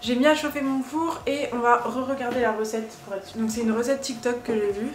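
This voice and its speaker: A woman at a fairly quick pace with ordinary pitch variation, amid light background noise and audible room echo. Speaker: lifestyle vlogger. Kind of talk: casual vlog chat. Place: kitchen. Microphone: phone near.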